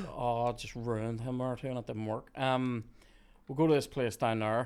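A man speaks in a medium pitch with a Northern Irish accent. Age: 30s. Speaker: podcast host. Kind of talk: casual chat.

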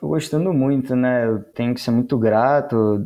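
With a moderate tempo, a man's delivery keeps its intonation fairly level. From Brazil, Petrópolis (Rio de Janeiro state), then São Paulo. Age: 20s. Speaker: master brewer. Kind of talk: interview.

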